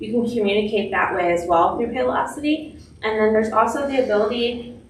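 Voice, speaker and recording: Fairly quick, fairly high-pitched speech from a woman, ordinary in pitch variation, with noticeable background noise behind it. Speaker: software company representative. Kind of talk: presentation to staff. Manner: fast.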